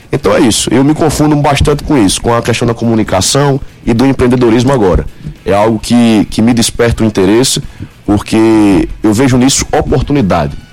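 A man talks at a fairly quick pace and medium pitch, with ordinary pitch variation and very even loudness, against noticeable background noise. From Paraíba, Brazil (Guarabira). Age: 20s. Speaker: law student and marketing director. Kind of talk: radio interview.

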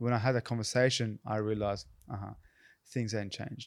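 With an Australian accent, a man speaks in fairly even intonation. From Australia, Canberra. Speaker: actor. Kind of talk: casual chat.

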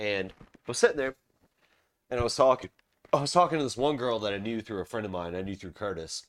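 A man with an American accent talks at a very fast pace with lively intonation and big swings in loudness. He takes long, frequent pauses. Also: medium pitch for a man. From Charleston, South Carolina. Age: 30s. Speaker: podcast host. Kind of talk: casual chat. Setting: home recording, beer drinking. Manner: casual, profane.

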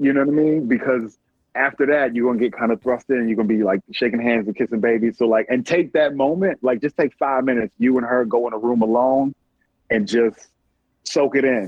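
With an American accent, a man uses a normal speaking voice at medium pitch, moving at a fairly quick pace with ordinary pitch variation and very even loudness. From Prince George's County, Maryland. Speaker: TV showrunner and writer. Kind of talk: casual interview. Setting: remote via app.

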